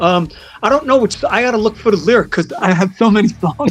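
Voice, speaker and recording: Music plays in the background as a man talks at a fairly quick clip. His voice sits high in pitch for a man and carries an animated tone. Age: 50s. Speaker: rock musician. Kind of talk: interview.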